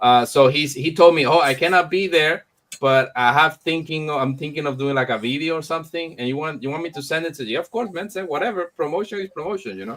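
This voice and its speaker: With a Spanish accent and a fairly high pitch, a man talks at a very fast pace with hardly any pauses, ordinary pitch variation and big swings in loudness. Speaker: comic publisher hosting launch event. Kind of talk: live stream chat. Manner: halting.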